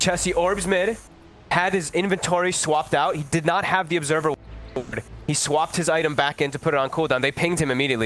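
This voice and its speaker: Amid noticeable background noise, a man with a fairly high pitch speaks at a very fast pace with ordinary pitch variation. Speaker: esports caster. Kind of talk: live commentary. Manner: loud.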